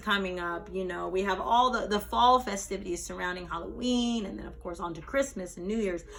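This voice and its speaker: A woman with an American accent talks fairly quickly at a medium pitch, hardly pausing, with ordinary pitch variation. Audible room echo and noticeable background noise fill the recording. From US West, Las Vegas. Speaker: spoken word poet. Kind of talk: talk with poetry reading. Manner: conversational, many fillers.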